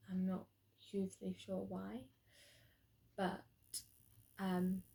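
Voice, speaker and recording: A woman's somewhat breathy voice at medium pitch, with a dark, mellow tone. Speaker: drama student. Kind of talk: spoken video log. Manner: hesitant, many ums.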